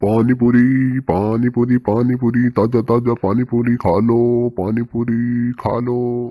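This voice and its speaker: A man speaks in a cartoonish character voice at medium pitch with monotone, flat intonation. The pace is very slow, with hardly any pauses. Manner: hawking loudly, then menacing.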